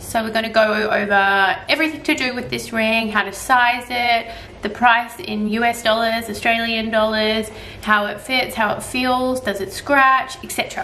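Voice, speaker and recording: The speaker keeps a moderate pace and ordinary pitch variation, with light background noise. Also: woman. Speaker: luxury goods vlogger. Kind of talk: casual vlog chat. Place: home room. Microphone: camera far.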